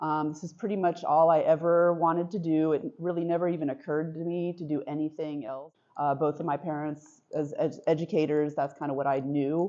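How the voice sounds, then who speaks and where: This woman has a very deep, low pitch and speaks at a fairly quick pace with hardly any pauses. Her intonation stays fairly even. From US and France, bicultural upbringing. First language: French. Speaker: visual artist. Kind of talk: artist talk. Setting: gallery with audience. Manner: hesitant, many fillers.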